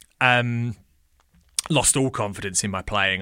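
This man has an English accent and a bright, sharp tone. His intonation is fairly even, and the recording is very clean with a silent background. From England. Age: 30s. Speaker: drummer and music educator. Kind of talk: casual chat.

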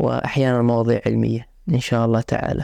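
Against a quiet background, a man speaks in a dark, mellow tone at medium pitch and moderate pace, his intonation monotone and flat. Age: 20s. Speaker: podcast host, medical student. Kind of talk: solo podcast introduction. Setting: sitting on a couch, simple home setup.

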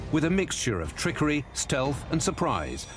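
A man speaks in a dramatic tone at a moderate pace over noticeable background noise. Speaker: documentary narrator. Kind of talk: history documentary narration. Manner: measured, grave, steady storyteller's delivery; formal, dramatic and authoritative.

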